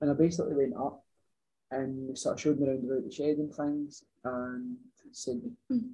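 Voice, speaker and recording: In a Scottish accent, a man with a fairly high, dark and mellow voice talks at a moderate pace, with ordinary pitch variation and long, frequent pauses. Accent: Scottish (Ayrshire). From Scotland, Ayrshire. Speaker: farmer, dairy worker. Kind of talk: casual chat. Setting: in person.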